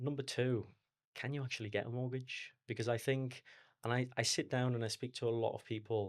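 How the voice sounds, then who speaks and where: On a very clean recording with a silent background, a man speaks with a Liverpool accent. He moves at a fairly quick pace with fairly even intonation. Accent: Liverpool (Scouse). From Liverpool, England. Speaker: mortgage advisor. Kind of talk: podcast interview.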